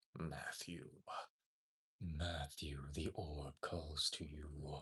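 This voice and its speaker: Speaking very slowly, a man puts on a character voice. His pitch is very deep and low. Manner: menacing, gruff.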